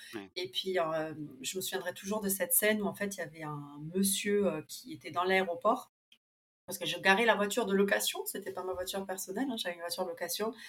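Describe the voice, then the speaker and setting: Speaking at a fairly quick pace, a woman shows ordinary pitch variation and big swings in loudness. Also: medium pitch for a woman. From Argentina, Buenos Aires, raised partly in France. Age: 30s. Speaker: interviewee sharing a multicultural life story. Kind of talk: interview, life story.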